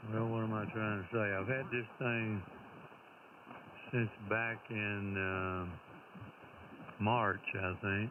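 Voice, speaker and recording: A man's fairly low voice, fairly even in intonation, at a very slow pace. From Tennessee. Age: 80s. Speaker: retired amateur radio operator. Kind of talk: casual chat over radio contact.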